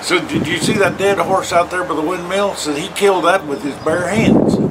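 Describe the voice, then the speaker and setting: A man speaks at a fairly quick pace in a high voice with ordinary pitch variation, over noticeable background noise. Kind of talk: storytelling, folksy tall tale told to camera.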